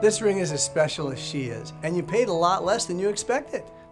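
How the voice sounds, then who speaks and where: Over music in the background, a high-pitched man speaks at a fairly quick pace with lively intonation. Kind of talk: TV commercial read.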